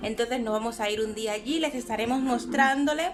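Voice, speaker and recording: Music plays behind a woman who speaks in a Cuban accent at a fairly high pitch. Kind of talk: casual vlog talk to camera. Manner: chatty, affectionate.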